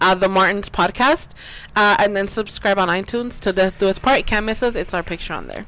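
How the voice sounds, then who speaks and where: A woman talks at a fairly quick pace at a medium pitch. Noticeable background noise runs underneath. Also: ordinary pitch variation. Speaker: podcast host. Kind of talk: casual chat.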